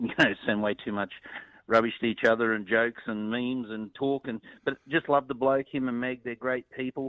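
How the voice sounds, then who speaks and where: In a strong Australian accent, a man speaks at a moderate pace and a medium pitch, with fairly even intonation. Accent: broad Australian. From north Queensland, Australia. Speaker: country musician and producer. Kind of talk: interview. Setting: phone call.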